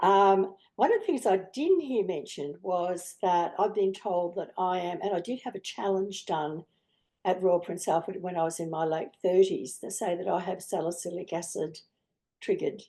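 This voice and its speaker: A woman's dark, mellow tone at medium pitch, with ordinary pitch variation and a moderate pace. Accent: Australian. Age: 70s. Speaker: asthma patient advocate on a panel. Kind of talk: panel discussion.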